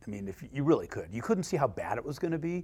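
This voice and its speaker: With a Californian accent, a man talks in a somewhat breathy voice with lively intonation. The recording is very clean, with a silent background. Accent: Californian American. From Los Angeles, San Fernando Valley. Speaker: homebuilding executive. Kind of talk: interview conversation.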